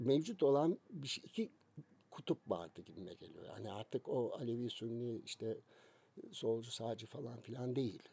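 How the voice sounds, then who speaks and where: Here a man speaks at a moderate pace with a somewhat breathy, dark, mellow tone and medium pitch. His intonation is lively, and his loudness swings widely. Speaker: music magazine founder. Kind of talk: casual interview.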